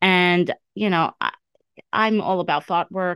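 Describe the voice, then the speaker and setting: The speaker has an unremarkable speaking voice with fairly even intonation. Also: woman. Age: 50s. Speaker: life coach. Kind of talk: solo podcast monologue. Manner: casual with many fillers.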